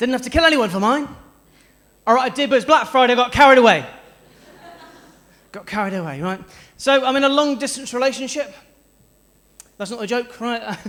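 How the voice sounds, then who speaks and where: A man speaks at an extremely high pitch with a bright, sharp tone and a South West English accent. His pitch varies in an ordinary way, broken by long, frequent pauses. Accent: South West English, noticeable. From South West England (Stroud, near Bristol). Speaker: stand-up comedian. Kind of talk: stand-up. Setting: stage with audience.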